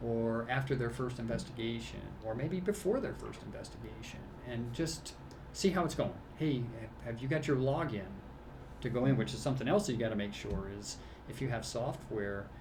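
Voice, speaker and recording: With audible room echo around it, the voice moves at a moderate pace with lively intonation. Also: man, medium pitch for a man. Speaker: safety training instructor. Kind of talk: casual chat. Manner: hesitant, many fillers.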